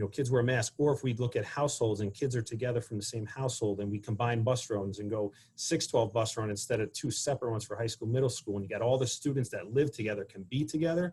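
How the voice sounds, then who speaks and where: Speaking at a very fast pace, a man uses a medium-pitched, somewhat breathy voice with a dark, mellow tone and fairly even intonation. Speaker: school administrator. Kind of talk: panel presentation.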